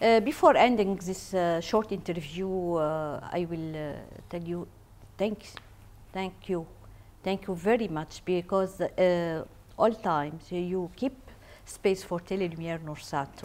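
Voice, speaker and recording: With an Arabic accent, a woman speaks at a fairly slow pace in a fairly low pitch, with ordinary pitch variation and long, frequent pauses. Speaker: TV interviewer. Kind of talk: interview. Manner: halting.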